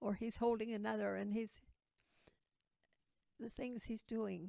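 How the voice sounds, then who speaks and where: Fairly high in pitch with a dark, mellow tone, a woman speaks at a fairly slow pace with fairly even intonation. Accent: American. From Ohio, US Midwest. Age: 80s+. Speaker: terminally ill interviewee. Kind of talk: interview, life story. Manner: halting, repetitive.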